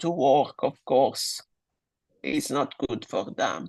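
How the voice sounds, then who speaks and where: Against a quiet background, the speaker talks at a fairly slow pace in a strong Italian accent. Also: woman. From Italy. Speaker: guest speaker on English and careers. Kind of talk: online webinar discussion.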